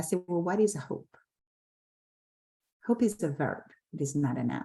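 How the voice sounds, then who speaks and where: Speaking at a moderate pace, a woman with a fairly low pitch has a dark, mellow tone, a somewhat breathy quality and lively intonation. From Haiti. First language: French and Haitian Creole. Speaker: nonprofit CEO. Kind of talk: panel discussion.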